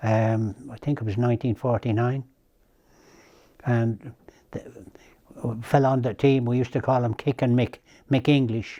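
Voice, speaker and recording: Against a quiet background, a man with an Irish accent speaks at a medium pitch and moderate pace in a dark, mellow tone, his intonation monotone and flat, with long, frequent pauses. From Ireland, County Kildare. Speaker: racehorse trainer. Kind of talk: interview reminiscence. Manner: halting.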